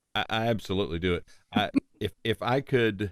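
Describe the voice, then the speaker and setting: A man's voice with a slight Southern US accent and ordinary pitch variation. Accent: slight Southern drawl. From Tennessee. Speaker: voice-over producer. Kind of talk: interview podcast.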